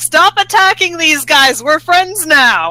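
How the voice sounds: A put-on character voice, female-sounding and extremely high-pitched, at a fairly slow pace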